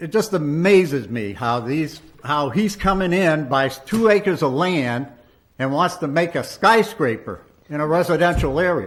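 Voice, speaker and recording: A man with an American accent, fairly high in pitch, at a moderate pace and with lively intonation, amid audible room echo. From Maine, US (Lewiston). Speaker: resident speaking at city council meeting. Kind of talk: public comment at council meeting. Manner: animated.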